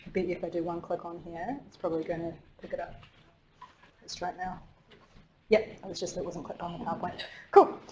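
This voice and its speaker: Speaking at a very fast pace with long, frequent pauses, a woman with a New Zealand accent uses a fairly low pitch, fairly even intonation and big swings in loudness, with audible room echo. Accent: New Zealand, thickened. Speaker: marine ecologist, researcher. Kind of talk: lecture.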